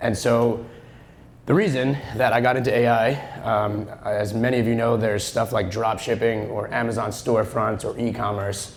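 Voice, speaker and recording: Against audible room echo, a man with an American accent speaks at a medium pitch and moderate pace, his intonation monotone and flat. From Long Island, New York. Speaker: real estate agent, conference speaker. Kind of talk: conference talk. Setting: stage with audience. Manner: loud; casual, joking.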